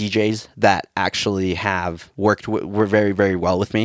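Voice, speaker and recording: In a very clean recording with a silent background, a man speaks in a fairly low voice. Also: dry, close sound with no echo. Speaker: wedding videographer. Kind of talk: casual chat. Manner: loud.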